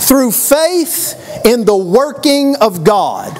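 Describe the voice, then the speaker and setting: A man with a Texan accent speaks at an extremely high pitch. He talks very slowly, with very wide pitch swings. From Texas. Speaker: preacher. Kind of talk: sermon. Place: church. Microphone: lapel.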